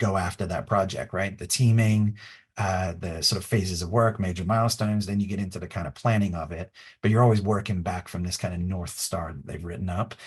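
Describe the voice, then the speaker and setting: A somewhat breathy man at a fairly low pitch, fairly quick pace and fairly even intonation. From England. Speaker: design consultant. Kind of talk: webinar presentation. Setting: online webinar. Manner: casual, filler-heavy.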